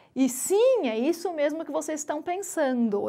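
Against a quiet background, the voice moves very slowly while swinging very widely in pitch. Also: woman. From Brazil. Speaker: biologist science communicator. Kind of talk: stand-up comedy. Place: studio. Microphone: lapel.

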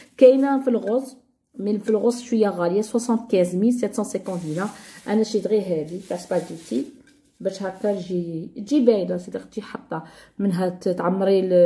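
Slow-paced and somewhat breathy, a woman speaks at a medium pitch. Her tone is dark and mellow, with ordinary pitch variation. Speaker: YouTube lifestyle vlogger. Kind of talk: casual product haul video.

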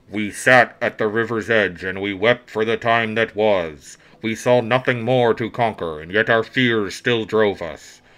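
Putting on a rumbling character voice, a man talks at a moderate pace and medium pitch, with fairly even intonation and hardly any pauses. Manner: bleak.

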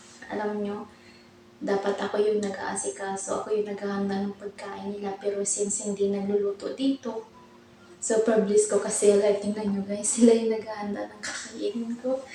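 Against noticeable background noise, a woman with a medium pitch speaks in a monotone, flat intonation while her loudness swings widely. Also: moderate pace. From Philippines. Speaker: overseas domestic worker vlogger. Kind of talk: casual vlog talk to camera. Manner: stumbling over words.

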